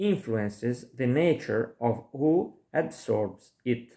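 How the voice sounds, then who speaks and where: A man talks at a very slow pace with a non-native accent. His intonation is lively. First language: not English. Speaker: lecturer. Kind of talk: lecture. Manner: halting.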